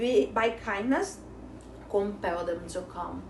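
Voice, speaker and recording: A woman with a non-native accent speaks amid noticeable background noise and audible room echo. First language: not English. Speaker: Bible study teacher. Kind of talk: Bible study lesson. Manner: halting.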